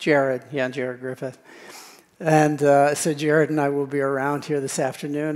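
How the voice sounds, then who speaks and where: With an American accent, a man speaks at a fairly quick pace and a fairly high pitch. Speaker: tech industry speaker. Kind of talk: conference talk with Q&A.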